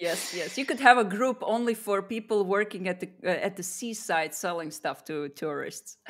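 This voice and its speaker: A woman speaks at a moderate pace with hardly any pauses. Her medium-pitched voice carries a non-native accent and lively intonation. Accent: non-native English, wants to improve it. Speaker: podcast host. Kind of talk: live interview.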